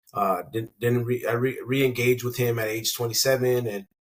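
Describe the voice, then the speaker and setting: A man with an American accent speaks at a medium pitch and a moderate pace, somewhat breathy and with fairly even intonation. The recording is very clean, with a silent background. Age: 40s. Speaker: sports coach. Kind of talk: casual chat.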